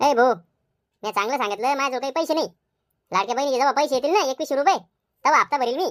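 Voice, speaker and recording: A woman uses a high, cartoonish character voice with ordinary pitch variation. She talks at a very fast pace. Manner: brash, quarrelsome.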